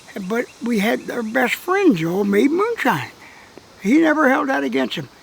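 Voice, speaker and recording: Noticeable background noise accompanies a man who speaks with an American accent at a moderate pace. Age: 80s+. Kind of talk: interview answer. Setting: outdoors.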